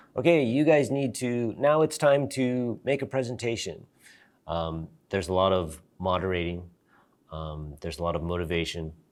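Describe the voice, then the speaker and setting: A moderate pace, very wide pitch swings, and a very clean recording with a silent background. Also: man, very deep, low pitch for a man. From US, Seattle. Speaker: English teacher. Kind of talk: interview monologue.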